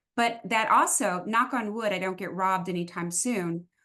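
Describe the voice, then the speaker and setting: A woman talks at a fairly quick pace. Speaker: retirement coach, former police officer. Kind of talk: casual chat. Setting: in person. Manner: animated.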